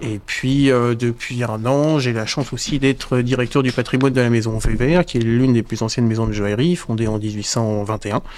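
A man with fairly even intonation at a moderate pace. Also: medium pitch for a man. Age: 30s. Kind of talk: casual interview chat.

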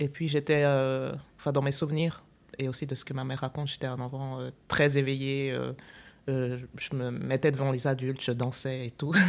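A woman with a very deep, low pitch speaks at a moderate pace in a monotone, flat delivery. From Switzerland. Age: 30s. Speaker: integration specialist, festival organiser. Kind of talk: casual chat.

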